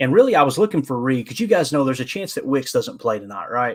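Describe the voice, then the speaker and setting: A man with a medium-pitched voice talks at a very fast pace on a very clean recording with a silent background. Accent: Kentucky Appalachian. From Kentucky, Appalachia. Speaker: sports podcast host. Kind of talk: live stream sports talk. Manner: casual, halting with fillers.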